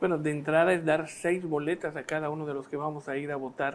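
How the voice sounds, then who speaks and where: A man speaks in a monotone, flat intonation. His pace is moderate. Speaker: guest. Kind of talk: interview answer. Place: studio. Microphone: lapel.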